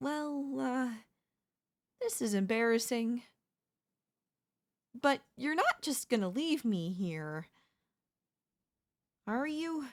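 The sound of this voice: Using a put-on character voice with a high pitch, a woman speaks slowly with lively intonation and long, frequent pauses on a very clean recording with a silent background.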